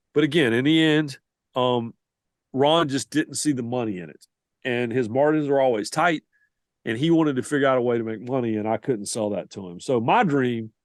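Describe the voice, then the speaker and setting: Heard in a dry, close sound without echo, the speaker uses a Southern US accent and shows big swings in loudness. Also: man. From US South. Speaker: sports writer and reporter. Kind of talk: podcast interview.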